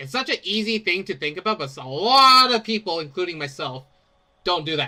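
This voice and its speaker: A man projects a raised voice with a bright, sharp tone and a high pitch. His pitch swings very widely, and he moves at a fairly quick pace. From Canada. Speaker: gamer streamer. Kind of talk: casual chat. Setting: live stream. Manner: loud; rambling, halting.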